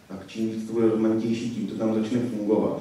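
Strong room echo surrounds a flat, monotone voice moving at a fairly quick pace. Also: man. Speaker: conservationist; conference presenter. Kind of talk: conference talk; lecture. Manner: fast once warmed up; hesitant with fillers. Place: hall.

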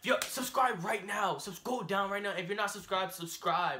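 A man speaks in a raised, projected voice. His pitch varies in an ordinary way over light background noise. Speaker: vlogger. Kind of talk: casual vlog chat. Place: home room. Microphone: camera far.

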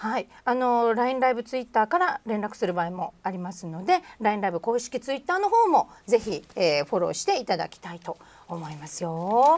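Fairly high-pitched, a woman speaks at a fairly quick pace. Her pitch swings very widely and her loudness rises and falls sharply. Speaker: livestream host, MC. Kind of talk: live streamed celebrity interview and games. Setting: studio, live stream. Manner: polite, cheerful, laughs often. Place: studio.

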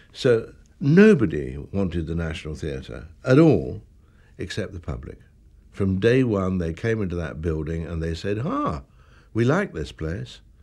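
A man's very deep, low voice with a dark, mellow tone and vocal fry, lively intonation, a fairly slow pace with long, frequent pauses, over a quiet background. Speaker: interviewee. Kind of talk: interview answer. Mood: wry, animated recollection. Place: home room.

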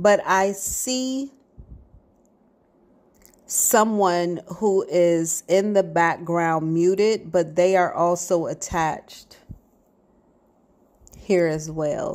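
A woman's fairly low voice at a very slow pace, with ordinary pitch variation and long, frequent pauses. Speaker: psychic reader. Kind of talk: psychic reading monologue. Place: garden. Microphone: earbuds.

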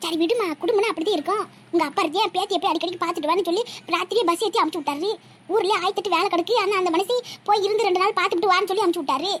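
A woman does a cartoonish character voice at an extremely high pitch, talking very fast with fairly even intonation. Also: very even loudness. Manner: gentle, conciliatory.

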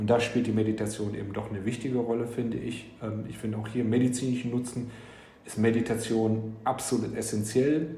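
Speaking at a fairly quick pace, a man uses a medium pitch with monotone, flat intonation. Background noise is noticeable, and room echo is audible. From Frankfurt, Germany. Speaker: entrepreneur. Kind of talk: interview. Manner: hesitant with many fillers.

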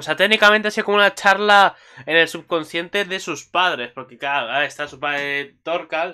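A man speaks at a moderate pace in a high, bright and sharp voice, with ordinary pitch variation. His loudness swings widely, and he hardly pauses. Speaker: anime YouTuber. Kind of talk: solo video commentary. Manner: halting, many fillers.

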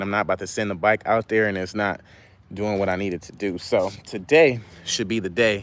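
This man has an unremarkable speaking voice, fairly low in pitch with fairly even intonation. He talks at a moderate pace, in a dry sound with no echo. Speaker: vehicle flipper vlogger. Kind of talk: casual livestream chat. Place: street. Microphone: phone near.

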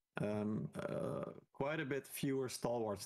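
This man's voice carries vocal fry and ordinary pitch variation. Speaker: esports commentator. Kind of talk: live sports commentary on a game match.

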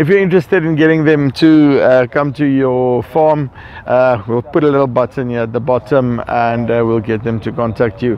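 Speaking at a moderate pace with an Afrikaans South African accent, a man uses ordinary pitch variation in a dry sound with no echo, over light background noise. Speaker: farming video host and interviewer. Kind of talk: on-site interview. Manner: hesitant, many fillers. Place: farm machine.

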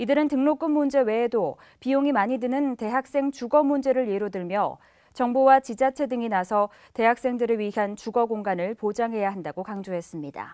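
The woman's voice sits fairly high in pitch and has a dark, mellow tone. The recording is very clean with a silent background. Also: ordinary pitch variation, moderate pace. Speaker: news anchor. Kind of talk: news reading. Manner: formal.

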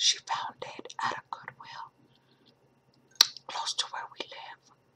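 A woman whispers at a very slow pace. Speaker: ASMR creator. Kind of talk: ASMR whispered show and tell. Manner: whispered; chewing gum while talking.

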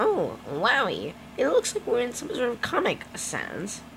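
A put-on character voice moves along at a moderate pace while clear background noise plays. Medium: dub. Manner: loud, enthusiastic.

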